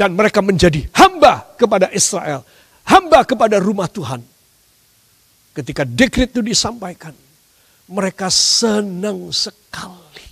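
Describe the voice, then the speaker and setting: Against a quiet background, a man with a high voice talks at a fairly slow pace, his pitch swinging very widely. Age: 60s. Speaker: pastor. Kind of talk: sermon. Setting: church service, live streamed. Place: church.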